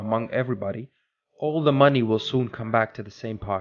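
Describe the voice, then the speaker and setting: A man with a non-native accent talks at a fairly quick pace. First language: not English. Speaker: podcast host. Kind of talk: motivational talk.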